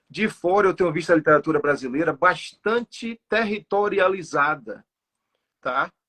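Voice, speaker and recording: Heard with a dry, close sound and no echo, a man talks with lively intonation. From Sertão of Bahia, Brazil. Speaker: poet. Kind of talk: online interview. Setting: livestream. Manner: halting, with fillers.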